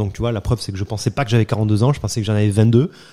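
The recording is very clean, with a silent background. A man speaks at medium pitch in a dark, mellow tone. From southern France, Nîmes. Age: 40s. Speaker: heart surgeon and entrepreneur. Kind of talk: interview.

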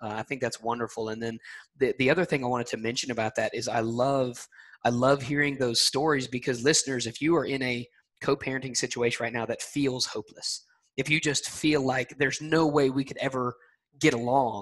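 Against a quiet background, a man in a Southern US accent speaks at a fairly quick pace with fairly even intonation. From US South, Alabama. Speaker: podcast host. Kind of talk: interview. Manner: friendly.

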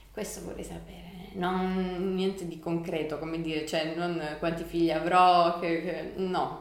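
Noticeable background noise sits behind a woman with a fairly low pitch. She speaks at a fairly slow pace in a monotone, flat way. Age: 30s. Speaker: local community member. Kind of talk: interview.

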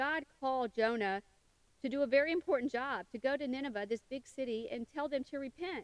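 Ordinary pitch variation marks a woman's speech at a fairly quick pace. The sound is dry and close with no echo. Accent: Southern US. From US South, western Tennessee. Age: 50s. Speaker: podcast host. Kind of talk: casual monologue.

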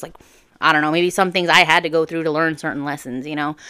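Over a very clean, silent background, a woman talks very fast in a very deep, low voice. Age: 20s. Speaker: podcast host. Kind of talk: casual solo monologue. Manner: animated, conversational.

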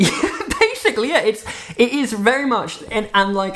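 A voice with very wide pitch swings and vocal fry. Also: man. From Switzerland. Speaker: podcast co-host. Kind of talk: casual chat. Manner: halting, many fillers and restarts.

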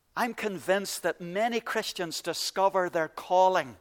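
In a very clean recording with a silent background and a dry, close sound with no echo, a man speaks in a Northern Irish accent with ordinary pitch variation. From Northern Ireland, County Antrim. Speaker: pastor. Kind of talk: sermon. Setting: church.

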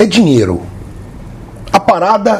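A man's high voice with very wide pitch swings amid noticeable background noise. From Brazil, interior of São Paulo state (Jaboticabal). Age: 40s. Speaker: podcast co-host. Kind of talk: casual chat.

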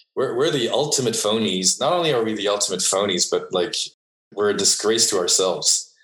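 A man talks at a fairly quick pace in a French accent. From France. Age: 40s. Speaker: entrepreneur. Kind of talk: interview.

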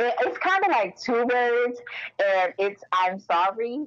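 A woman speaks at a fairly high pitch. Her pitch swings very widely. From Maryland, Baltimore. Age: 20s. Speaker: government logistics specialist. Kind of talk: casual chat. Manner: animated.

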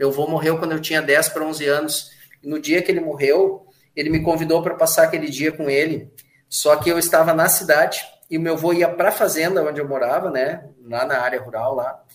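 This man has a plain, everyday voice with a fairly high pitch. He speaks at a fairly quick pace with fairly even intonation. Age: 50s. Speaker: advertising professional and author. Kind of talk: casual interview.

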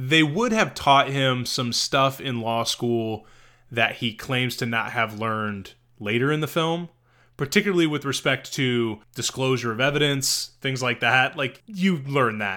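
A man with an American accent, medium-pitched and fairly slow, with ordinary pitch variation and a bright, sharp tone on a very clean recording with a silent background. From US small towns. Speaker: podcast co-host discussing films. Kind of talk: casual chat.

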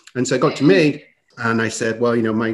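A man with an East Midlands accent, medium in pitch. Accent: northern English (East Midlands). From northern England. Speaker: podcast host. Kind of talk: casual interview conversation.

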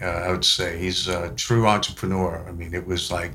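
Amid audible room echo, a man speaks with a very deep, low pitch. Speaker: business executive. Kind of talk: casual interview chat. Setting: studio.

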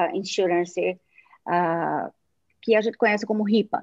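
With ordinary variation in her pitch, a woman talks in a medium register. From Brazilian Northeast. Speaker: tech company CEO. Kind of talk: live talk show interview.

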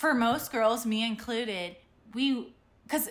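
A woman speaks in a normal speaking voice with an American accent, fairly high in pitch and at a fairly slow pace. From Ohio. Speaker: podcast co-host. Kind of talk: casual chat.

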